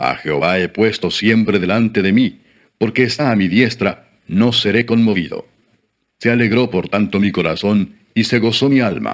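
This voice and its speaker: A man's unremarkable speaking voice, fairly low in pitch, with very even loudness and ordinary pitch variation. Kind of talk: audiobook-style reading aloud of scripture (Psalms). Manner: slow, solemn, formal reverent reading; steady measured pace with pauses between verses.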